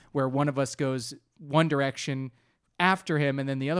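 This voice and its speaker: On a very clean recording with a silent background, a man with an unremarkable speaking voice talks at a fairly quick pace in a fairly high pitch with fairly even intonation. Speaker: comedy podcast co-host. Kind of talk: casual chat.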